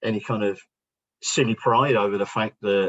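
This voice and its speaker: A fairly low-pitched man in a London accent. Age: 60s. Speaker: business founder and speaker. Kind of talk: workshop presentation.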